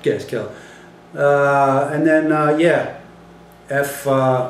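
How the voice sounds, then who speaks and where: Noticeable background noise sits under a man's fairly high voice. He speaks very slowly in a monotone, flat intonation. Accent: American. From California. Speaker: voice actor. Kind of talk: casual interview answer.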